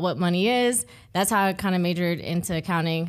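The speaker has an ordinary speaking voice with fairly even intonation at a moderate pace. The recording is very clean, with a silent background. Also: woman. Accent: American. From Ohio, US Midwest. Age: 20s. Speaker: accountant, consultant. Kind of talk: casual interview.

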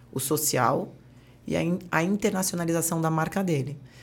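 A plain, everyday voice from a woman, fairly low-pitched and moderately paced. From Brazil, Santos (Baixada Santista). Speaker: entrepreneur, brand partnerships. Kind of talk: interview conversation.

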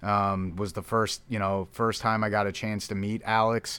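A bright, sharp tone in monotone, flat intonation, on a very clean recording with a silent background. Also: man. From Philadelphia. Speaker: minor league baseball general manager. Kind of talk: casual interview. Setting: stadium locker room.

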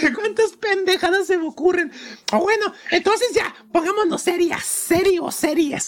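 In a Mexican accent, the speaker sounds animated at a fairly slow pace. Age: 20s. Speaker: podcast host. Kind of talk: casual chat.

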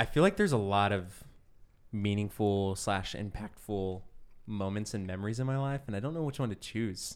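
A man with a plain, everyday voice, fairly low in pitch, at a moderate pace with ordinary pitch variation, on a very clean recording with a silent background. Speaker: guest telling stories. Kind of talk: casual storytelling chat. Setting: studio with headphones.

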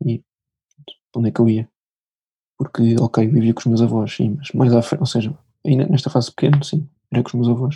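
Somewhat breathy, this man talks at a fairly quick pace with a medium pitch. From Portugal, Lisbon. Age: young. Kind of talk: testimony.

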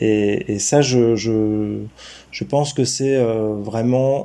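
Intonation stays fairly even, carried by a tone that is dark and mellow. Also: man. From France, Gâtinais countryside south of Paris. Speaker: local government mobility director. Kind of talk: interview. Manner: halting, frequent repetitions.

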